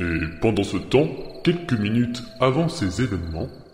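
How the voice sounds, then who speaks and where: A man talks at a moderate pace in a fairly low voice with very wide pitch swings. There is a slight echo and clear background noise. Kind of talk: dramatic audio-drama narration. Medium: audio drama.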